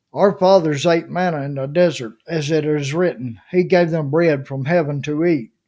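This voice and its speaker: On a very clean recording with a silent background, a man with a fairly high voice and a dark, mellow tone speaks at a fairly slow pace. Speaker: Bible reader. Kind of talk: scripture reading.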